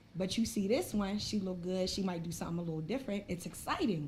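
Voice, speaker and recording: A woman's very fast speech with ordinary pitch variation, audible room echo and noticeable background noise. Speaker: podcast host. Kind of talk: casual chat.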